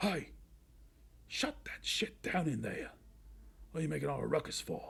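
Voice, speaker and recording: The speaker puts on a character voice, talking at a medium speed. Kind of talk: rough, casual. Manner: hostile, barking.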